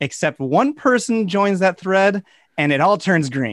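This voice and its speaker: A man's high voice with very wide pitch swings, at a moderate pace, in a dry, close sound with no echo. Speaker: podcast co-host. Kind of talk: casual chat.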